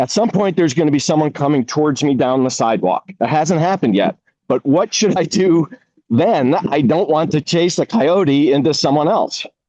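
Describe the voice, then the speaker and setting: Recorded dry and close with no echo, a man speaks at a fairly high pitch with a dark, mellow tone and lively intonation. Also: moderate pace, very even loudness. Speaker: resident asking questions. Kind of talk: community workshop Q&A. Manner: loud.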